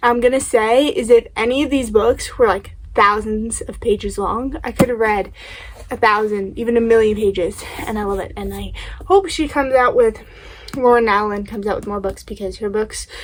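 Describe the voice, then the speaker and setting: Over noticeable background noise, a woman with a fairly high pitch speaks with ordinary pitch variation and big swings in loudness. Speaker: booktuber. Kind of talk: casual book review vlog. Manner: fast.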